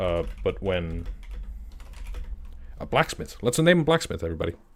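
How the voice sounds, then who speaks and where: A man with an Icelandic accent at a moderate pace. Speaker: game master streamer. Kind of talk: live stream chat. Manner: halting, many fillers and restarts.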